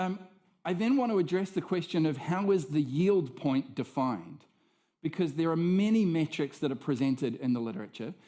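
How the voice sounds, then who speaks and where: Lively in intonation, a man speaks with a fairly high pitch and a dark, mellow tone. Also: very clean recording, silent background. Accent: New Zealand. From New Zealand. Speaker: professor. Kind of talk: lecture.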